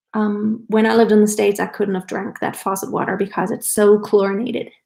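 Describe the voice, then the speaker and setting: A woman talks at a fairly quick pace with a fairly high pitch. Her voice is somewhat breathy. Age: 40s. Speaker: lifestyle vlogger. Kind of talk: live stream casual chat. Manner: casual, conversational.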